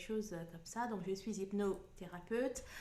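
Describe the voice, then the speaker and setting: The recording carries noticeable background noise and audible room echo. A woman of medium pitch speaks at a fairly slow pace. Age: 40s. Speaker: hypnotherapist and card reader. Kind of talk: channel introduction. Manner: hesitant, many filler words.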